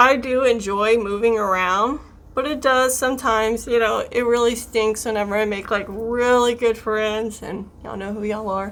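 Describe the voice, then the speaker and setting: With audible room echo, a woman in an American accent speaks at a moderate pace, fairly high-pitched, with fairly even intonation. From US South, South Louisiana. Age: 30s. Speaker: beauty vlogger. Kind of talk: casual chat while doing makeup tutorial. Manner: chatty.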